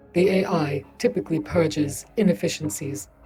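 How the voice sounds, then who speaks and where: Using a put-on character voice, a woman speaks at a moderate pace with a very deep, low pitch. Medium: read story. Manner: flat, literal, unemotional.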